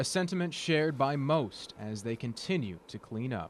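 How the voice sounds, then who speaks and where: A man's medium-pitched voice with very wide pitch swings at a moderate pace. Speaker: TV news reporter. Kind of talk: TV news package voice-over.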